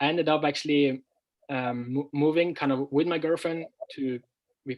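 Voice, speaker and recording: With a Norwegian accent, a man talks at a moderate pace in a fairly high pitch, keeping his intonation fairly even. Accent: Norwegian, clear. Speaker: language teacher and former footballer. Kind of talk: interview. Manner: clear; halting.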